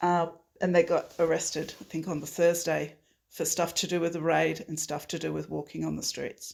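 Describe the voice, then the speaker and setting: The speaker talks at a moderate pace with an Australian accent on a very clean recording with a silent background. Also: woman. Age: 60s. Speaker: climate activist. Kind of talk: interview. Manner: halting, many fillers.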